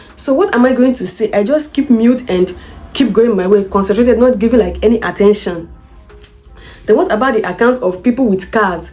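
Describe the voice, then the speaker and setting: A woman with a Nigerian accent talks at a fairly quick pace in a fairly high pitch with ordinary pitch variation, music playing in the background. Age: 20s. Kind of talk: storytime vlog talk to camera.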